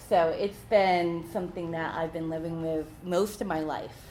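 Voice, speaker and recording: A woman is speaking. Room echo can be heard. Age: 20s. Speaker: workshop presenter. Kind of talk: workshop presentation.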